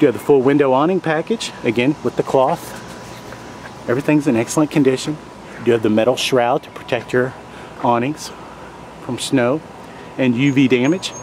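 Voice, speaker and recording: At a moderate pace with long, frequent pauses, a man speaks in a dry sound with no echo over light background noise. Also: fairly even intonation. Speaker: seller showing a camper. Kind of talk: sales walk-around tour. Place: street. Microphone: phone near.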